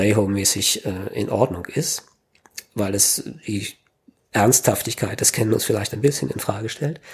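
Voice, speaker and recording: A man speaks at a moderate pace and medium pitch, with ordinary pitch variation. He leaves long, frequent pauses. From Berlin, Germany. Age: 40s. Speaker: kendo trainer. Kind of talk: casual interview.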